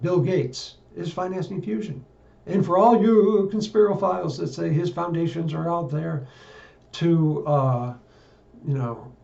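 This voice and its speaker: The delivery is fairly slow. Its intonation is lively. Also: man, high pitch for a man. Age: 70s. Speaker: political and science commentator. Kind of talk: monologue. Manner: halting.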